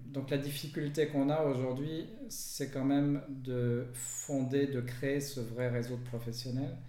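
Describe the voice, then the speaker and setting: Over noticeable background noise and audible room echo, a man speaks at a very slow pace in a monotone, flat intonation, with hardly any pauses. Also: medium pitch for a man. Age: 50s. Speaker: entrepreneur. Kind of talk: interview.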